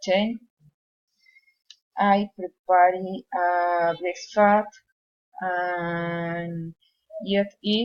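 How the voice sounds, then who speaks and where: A woman with a Colombian accent speaks very slowly at a medium pitch, leaving long, frequent pauses. Her intonation stays monotone and flat. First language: Spanish. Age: 20s. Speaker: psychology student and police worker. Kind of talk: English class speaking exercise. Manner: halting.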